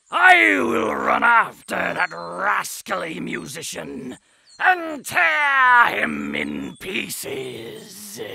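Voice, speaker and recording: Using a raspy, put-on character voice, a man speaks at a very slow pace. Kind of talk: fairy-tale audiobook acting. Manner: eager, then furious.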